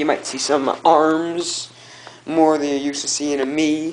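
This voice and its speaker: A man speaks in an excited tone at a fairly high pitch. Noticeable noise sits in the background. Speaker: toy reviewer. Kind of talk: casual talk to camera, toy review. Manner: hyper, excited rant.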